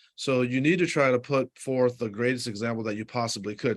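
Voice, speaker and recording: A man talks fairly quickly at a medium pitch. His pitch variation is ordinary. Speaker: high school basketball coach and assistant principal. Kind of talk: interview. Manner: calm, not a yeller; halting, with fillers and restarts.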